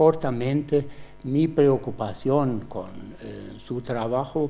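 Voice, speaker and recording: This man has a German accent. He speaks at a very slow pace. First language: German (speaking Spanish). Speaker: professor, examiner. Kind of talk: doctoral examination questioning. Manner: halting, with many fillers.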